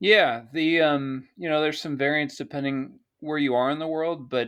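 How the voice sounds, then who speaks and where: Fairly quick, fairly evenly intoned speech in an American accent against a quiet background. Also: man. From United States. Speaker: retired police officer, bitcoin hardware developer. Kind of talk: podcast interview. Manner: halting, many fillers.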